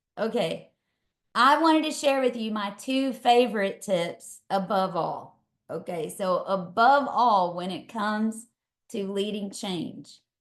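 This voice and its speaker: A woman speaks at a very slow pace with a Texas accent. Her fairly high pitch moves in lively intonation. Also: quiet background. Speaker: leadership coach. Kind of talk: webinar talk. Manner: casual, energetic.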